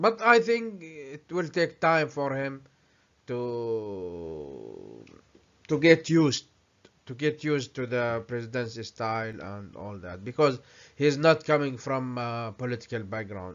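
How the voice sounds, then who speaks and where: A man speaks at a medium pitch with an Arabic accent. His pace is fairly slow, and his loudness swings widely. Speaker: vlogger. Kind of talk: commentary with reading aloud. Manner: halting.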